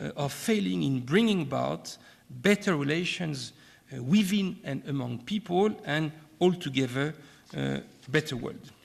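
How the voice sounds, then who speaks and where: A man with a French accent, fairly high-pitched, with lively intonation and a fairly slow pace. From France. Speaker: keynote speaker, academic and former diplomat. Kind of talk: keynote lecture. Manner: formal, with hesitations and repetitions.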